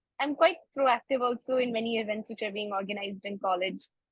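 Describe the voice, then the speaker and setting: A woman's voice at a moderate pace with lively intonation. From India (Bangalore, Karnataka). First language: Kannada. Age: 20s. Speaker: medical student. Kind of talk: interview. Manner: halting, many fillers.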